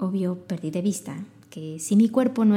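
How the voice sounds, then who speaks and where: A woman with a Mexican accent speaks at a moderate pace, her medium-pitched voice dark, mellow and somewhat breathy, with ordinary pitch variation. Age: 30s. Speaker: podcast host. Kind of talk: self-help monologue. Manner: animated.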